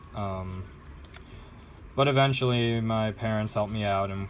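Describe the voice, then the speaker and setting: This man speaks at a fairly slow pace. His pitch is fairly low. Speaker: vlogger doing origami. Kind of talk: casual vlog while folding. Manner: hesitant, many fillers.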